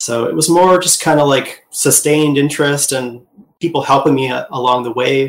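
A man talks with an American accent in an unremarkable speaking voice. His pitch is medium, his intonation fairly even, and his pace moderate. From US Midwest, Wisconsin. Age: 40s. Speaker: concept artist and art teacher. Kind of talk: interview.

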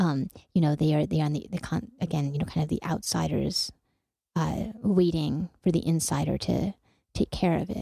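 A woman's very deep, low voice, dark and mellow in tone, with vocal fry and a moderate pace. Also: ordinary pitch variation. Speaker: radio host. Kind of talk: interview and book discussion. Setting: community radio studio.

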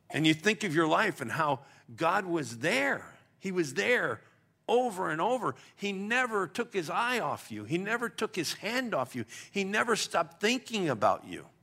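On a very clean recording with a silent background, a man projects a raised, high, bright, sharp voice at a moderate pace with very wide pitch swings. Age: 60s. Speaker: pastor. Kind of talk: sermon. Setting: church.

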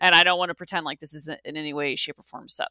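A woman with an American accent speaks in a bright, sharp tone, in a very clean recording with a silent background and a dry, close sound with no echo. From US South. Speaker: philosophy professor. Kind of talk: interview.

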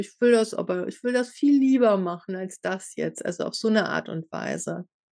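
The woman's tone is dark and mellow, and the sound is dry and close with no echo. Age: 50s. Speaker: podcast host and inquiry coach. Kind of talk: casual chat.

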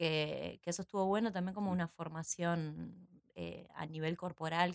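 The speech moves at a fairly slow pace in a monotone, flat intonation. The sound is dry and close, with no echo. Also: woman. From Uruguay, San José. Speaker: actress and theatre teacher. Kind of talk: casual interview. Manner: halting, many repetitions.

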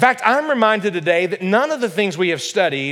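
A man's high-pitched voice with a fairly bright tone

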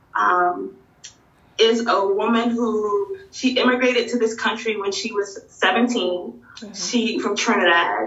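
A woman speaks with ordinary pitch variation, with audible room echo and noticeable background noise around her. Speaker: bookstore owner and educator. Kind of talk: interview conversation.

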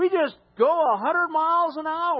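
A man is speaking. His voice is loud. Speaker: pastor. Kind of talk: sermon. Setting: church.

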